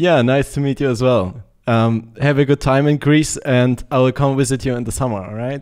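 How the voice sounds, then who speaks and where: Hardly pausing, the speaker uses fairly even intonation and a moderate pace with a German accent over a quiet background. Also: man. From Germany. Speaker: gaming streamer; game streamer. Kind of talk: casual gameplay chat. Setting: online voice chat. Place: home room. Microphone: studio mic.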